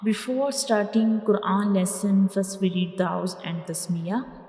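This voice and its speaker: A woman with fairly even intonation talks fairly slowly as noticeable background noise carries on. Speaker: Quran teacher. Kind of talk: online Quran lesson, teaching Arabic letters. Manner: slow, clear, repetitive.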